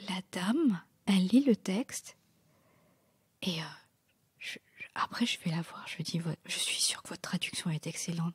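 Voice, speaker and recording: With a dark, mellow tone and a somewhat breathy quality, a woman speaks at a fairly slow pace with lively intonation in a dry, close sound with no echo. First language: not French (speaking French). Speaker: novelist. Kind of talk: interview. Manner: halting, many fillers.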